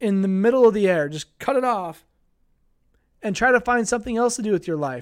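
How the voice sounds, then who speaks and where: A man's high-pitched voice with ordinary pitch variation, very cleanly recorded against a silent background. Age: 20s. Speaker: sports podcast host. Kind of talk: casual solo podcast monologue. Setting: live-streamed on social media with chat. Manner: casual, hesitant with fillers.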